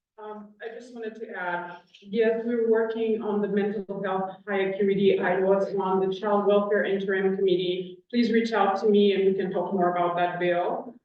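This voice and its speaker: A woman's medium-pitched voice in a monotone, flat delivery at a moderate pace with hardly any pauses, big swings in loudness and audible room echo. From Haiti. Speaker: state legislator. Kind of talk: panel discussion.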